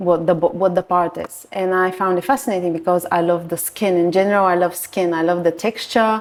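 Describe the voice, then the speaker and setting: Talking at a fairly quick pace with hardly any pauses, a woman with a Bulgarian accent keeps a fairly low pitch and fairly even intonation. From Bulgaria, Varna. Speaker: nude art photographer. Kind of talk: podcast interview. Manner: halting.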